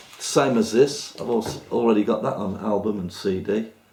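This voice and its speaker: Noticeable background noise sits behind a man whose fairly low voice moves with ordinary pitch variation. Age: 60s. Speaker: vlogger. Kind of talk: casual chat.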